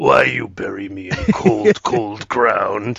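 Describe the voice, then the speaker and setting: At a very slow pace, a man performs a put-on character voice at medium pitch. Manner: calm, mocking.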